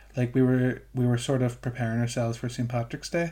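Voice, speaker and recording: At a fairly quick pace, a man speaks in a medium pitch. His voice is somewhat breathy, with a dark, mellow tone. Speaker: students' union president. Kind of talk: casual interview chat. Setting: remote recording from home. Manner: hesitant, filler-heavy, repeats words.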